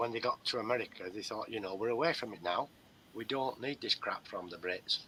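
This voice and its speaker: Bright and sharp in tone, a man with an English accent speaks with ordinary pitch variation. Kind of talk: casual chat.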